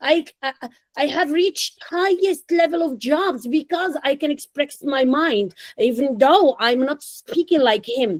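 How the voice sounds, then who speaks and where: The speaker, with a non-native accent, talks at a fairly slow pace. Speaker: English teacher. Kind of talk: online class.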